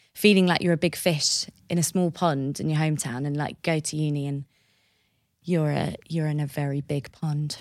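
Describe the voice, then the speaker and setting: A woman speaks with a southern English accent. The recording is very clean, with a silent background. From southern England, Hertfordshire/Essex border. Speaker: events director. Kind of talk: interview.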